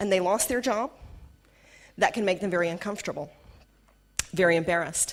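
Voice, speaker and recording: A woman with a Southern US accent speaks in an animated tone, recorded very cleanly over a silent background. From US South. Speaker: corporate trainer. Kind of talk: workshop talk.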